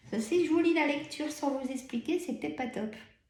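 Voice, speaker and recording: With lively intonation and a dark, mellow tone, a woman speaks at a moderate pace in a room with audible echo. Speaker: tarot card reader. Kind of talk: tarot reading. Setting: filmed video with camera. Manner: many pauses.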